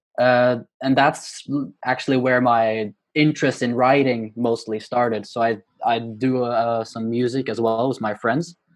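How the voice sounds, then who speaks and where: A man's medium-pitched voice with a Norwegian accent, fairly even intonation and a fairly slow pace. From Norway. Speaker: poet and university student. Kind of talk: interview. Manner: hesitant, many fillers.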